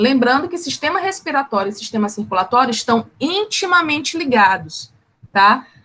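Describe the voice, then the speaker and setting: Her voice high and bright with a sharp edge, a woman talks at a moderate pace with lively intonation. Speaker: teacher. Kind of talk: online class lecture. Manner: animated.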